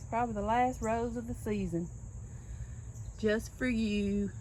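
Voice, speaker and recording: A soft-spoken woman with a Southern US accent talks at a medium pitch and moderate pace, with lively intonation. Long, frequent pauses break her speech, and audible room echo surrounds it. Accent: US South. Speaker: gardening vlogger. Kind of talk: casual garden tour vlog. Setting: outdoors in yard.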